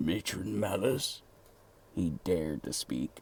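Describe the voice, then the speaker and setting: Putting on a character voice, a man speaks fairly slowly in a raspy, very deep, low pitch with very wide pitch swings, over clear background noise. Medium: read story. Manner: timid, deferential.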